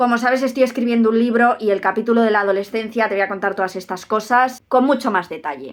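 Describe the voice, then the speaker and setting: A woman at a fairly high pitch, animated in tone and very fast in pace. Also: ordinary pitch variation, hardly any pauses. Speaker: youtuber on giftedness. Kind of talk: personal vlog monologue. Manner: careful articulation.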